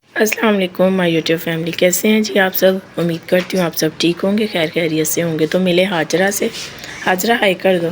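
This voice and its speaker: Noticeable background noise sits under a woman's medium-pitched voice. She speaks at a moderate pace with fairly even intonation. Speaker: family vlogger. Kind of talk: casual vlog narration.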